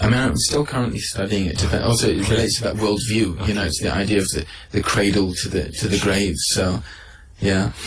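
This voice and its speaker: With a Mancunian accent, a man speaks at a fairly quick pace in a fairly low pitch, using ordinary pitch variation over noticeable background noise. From Manchester, England. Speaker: Islamic scholar. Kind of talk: radio interview answer.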